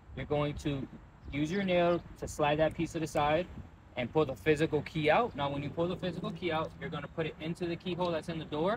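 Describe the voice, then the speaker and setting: A man speaks very fast with fairly even intonation. Noticeable background noise is heard, and the sound is dry with no echo. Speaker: car dealership sales manager. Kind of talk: tutorial. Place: street. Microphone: lapel.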